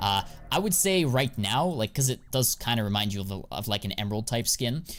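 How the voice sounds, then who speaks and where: At a fairly quick pace, a man talks with an animated tone and lively intonation. His pitch sits in the medium range. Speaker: CS2 skin investing streamer. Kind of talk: live stream chat. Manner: fast.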